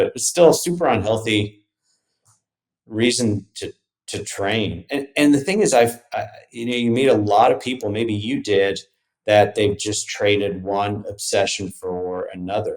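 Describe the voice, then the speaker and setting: A normal speaking voice from a man, medium in pitch, at a fairly slow pace with ordinary pitch variation. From Texas, Dallas (born in South Africa, moved at 8). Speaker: entrepreneur and endurance athlete. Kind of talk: podcast interview. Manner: casual, with many repetitions and fillers.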